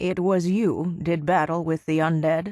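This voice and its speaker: A put-on character voice is delivered at a moderate speed with a middle pitch. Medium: machinima. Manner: cryptic, knowing.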